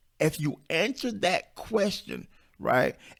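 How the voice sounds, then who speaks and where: Squeaky and animated, a man's voice makes very wide pitch swings on a very clean recording with a silent background. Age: 50s. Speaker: self-publishing coach, podcast host. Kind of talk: podcast monologue. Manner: animated, emphatic.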